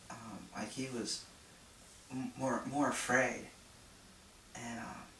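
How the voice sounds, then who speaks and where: A man whispering at a very slow pace, with big swings in loudness and noticeable background noise. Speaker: social worker. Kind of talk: casual talk to camera. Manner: hesitant, many filler words.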